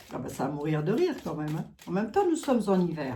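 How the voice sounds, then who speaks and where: In a strong Lorraine accent, a woman talks at a fairly quick pace in a fairly low voice with very wide pitch swings, noticeable background noise and audible room echo. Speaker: psychic / clairvoyant. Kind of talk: casual chat, psychic channeling livestream. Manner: chatty, many fillers.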